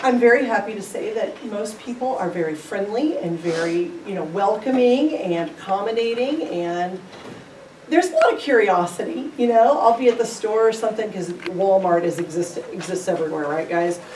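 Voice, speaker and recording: With a Midwestern accent, a woman speaks at a moderate pace and fairly high pitch, her pitch swinging very widely, amid noticeable background noise and audible room echo. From US Midwest, Independence, Missouri. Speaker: teacher. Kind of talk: school presentation.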